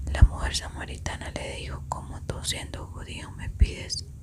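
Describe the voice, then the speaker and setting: Someone is whispering at a fairly slow pace. Noticeable background noise is present. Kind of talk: scripture reading. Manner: whispered, soft.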